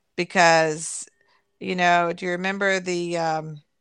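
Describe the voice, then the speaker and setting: A woman speaks very slowly in a medium pitch with a Kentucky accent and monotone, flat intonation. The recording is very clean, with a silent background. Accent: Kentucky Southern US. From Kentucky, Louisville area. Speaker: host's mother. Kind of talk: casual family interview, reminiscing.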